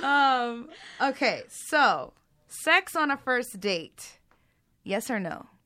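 In a very clean recording with a silent background, a woman projects a raised, bright, sharp, high-pitched voice with lively intonation, speaking very slowly with long, frequent pauses. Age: 30s. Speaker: podcast co-host. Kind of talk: casual chat.

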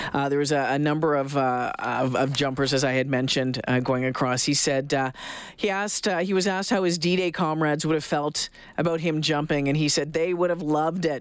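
With a Canadian accent, the speaker moves at a fairly quick pace. Loudness stays very even, and pitch varies in an ordinary way. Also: man, fairly high pitch for a man. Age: 40s. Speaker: radio host. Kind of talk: radio talk show. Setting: studio. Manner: halting, many fillers.

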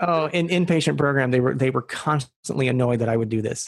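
A somewhat breathy man talks at a fairly quick pace, the sound dry and close with no echo. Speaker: interviewee in recovery. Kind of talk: podcast interview. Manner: laughs often while talking; hesitant, many fillers.

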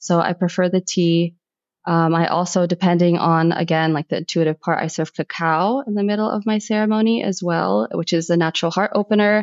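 A woman in a plain, everyday voice, fairly low in pitch with ordinary pitch variation, at a fairly quick pace. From US, Egyptian-American household. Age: 30s. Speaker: sound healer and photographer. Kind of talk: casual interview chat.

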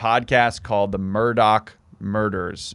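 At a moderate pace, a man with a fairly low pitch speaks in an animated tone. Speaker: podcast co-host. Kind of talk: casual banter. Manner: joking, animated.

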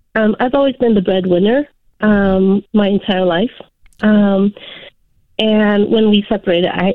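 With an unremarkable speaking voice, a woman talks in a medium pitch at a moderate pace. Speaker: caller. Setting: phone call.

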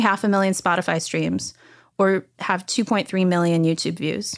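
A woman with an American accent and a plain, everyday voice speaks with fairly even intonation. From Washington DC area. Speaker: vinyl record plant founder. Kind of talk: interview.

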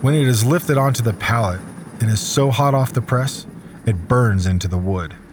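Over noticeable background noise, a man speaks at a fairly quick pace. His pitch is medium and his intonation lively. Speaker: podcast host and narrator, survival expert. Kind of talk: scripted narration.

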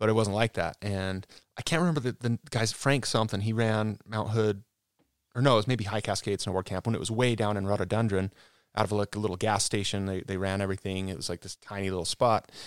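A man with an American accent talks at a very fast pace in a fairly low voice, his intonation fairly even, on a very clean recording with a silent background and a dry, close sound with no echo. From Utah, Salt Lake area. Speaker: former pro snowboarder. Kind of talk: casual interview. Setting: studio.

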